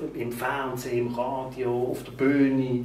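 The speaker has a Basel accent. Light background noise and audible room echo are present. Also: man. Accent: Basel Swiss German. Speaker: carnival performer and interviewer. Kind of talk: interviewer questions. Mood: warm, chatty. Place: home room.

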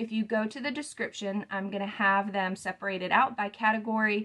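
A woman talks at a moderate pace. Her pitch is medium and her tone fairly bright.

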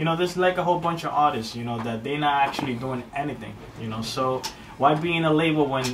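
Amid noticeable background noise and audible room echo, a man with an American accent and a fairly high pitch talks at a fairly quick pace with ordinary pitch variation. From Brooklyn, New York. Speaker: rapper. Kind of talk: radio interview. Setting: radio studio.

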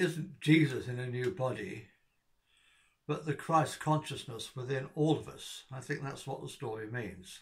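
The voice is somewhat breathy, with ordinary pitch variation and a moderate pace against a quiet background. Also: man. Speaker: opinion vlogger. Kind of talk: casual vlog monologue. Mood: earnest, reflective. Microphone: phone near.

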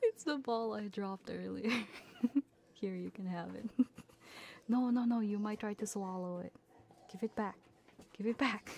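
A woman's somewhat breathy, playful voice at a fairly high pitch and moderate pace, with fairly even intonation and long, frequent pauses. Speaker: ASMR streamer / VTuber. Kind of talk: casual livestream chatter. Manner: playful, friendly, chatty.

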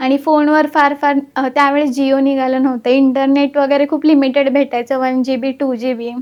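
A woman with a high pitch talks in a monotone, flat intonation. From Maharashtra, Pandharpur. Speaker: chartered accountant. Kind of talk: interview.

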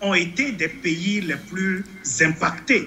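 There is light background noise while this man talks. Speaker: NGO country representative; remote guest. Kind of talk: televised panel debate. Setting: remote video link. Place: home room. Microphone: video call.

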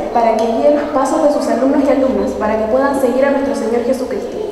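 Amid strong room echo and light background noise, a woman talks at a very fast pace with a high pitch and fairly even intonation. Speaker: student reader of intercessions. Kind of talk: liturgical reading. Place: church.

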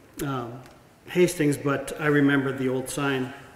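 A man with an American accent talks at a moderate pace in a monotone, flat intonation. There is audible room echo and light background noise. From US Midwest. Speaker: community speaker; speaker. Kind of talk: public speaking. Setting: stage with audience. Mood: warm, grateful, personal. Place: hall. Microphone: podium.

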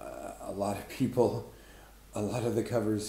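Audible room echo surrounds a male speaker. Some light noise sits in the background. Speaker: book reviewer. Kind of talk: casual vlog chat. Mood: wry, amused. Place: home room. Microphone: webcam.

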